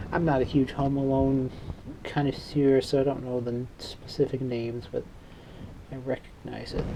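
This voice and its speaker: Speaking in a flat monotone at a medium pitch, a man with a slight Chicago accent is heard over noticeable background noise. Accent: dry Midwestern, slight Chicago. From Chicago, south side (Morgan Park). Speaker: hobbyist electronics repairer, channel owner. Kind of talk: casual workbench vlog. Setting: home workbench with Christmas music playing. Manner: casual, rambling with fillers.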